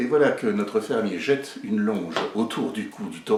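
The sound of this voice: The text is read in an unforced reading voice.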